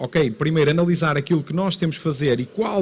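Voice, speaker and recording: Speaking very fast in a northern Portuguese accent, this man has a high voice with ordinary pitch variation. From northern Portugal. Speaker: local council president. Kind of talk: conference talk. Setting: stage with audience.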